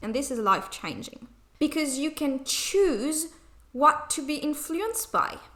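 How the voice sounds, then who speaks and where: A woman speaks with a non-native accent. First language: non-native English speaker. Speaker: spiritual channeler. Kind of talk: channeled spiritual message. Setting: home recording, poor sound.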